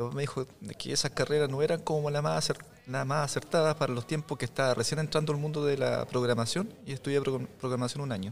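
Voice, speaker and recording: Over noticeable background noise, a man speaks at a very fast pace, his fairly high pitch varying in an ordinary way. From Chile, Biobío region (Tomé and Lota). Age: 40s. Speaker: photographer and visual artist. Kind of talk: casual interview.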